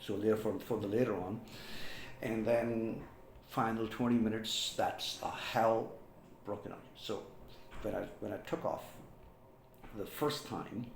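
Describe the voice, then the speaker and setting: A man speaks in a flat monotone with audible room echo. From Pakistan, Rawalpindi. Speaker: former air force pilot. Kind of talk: personal storytelling vlog. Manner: halting, with repetitions and fillers.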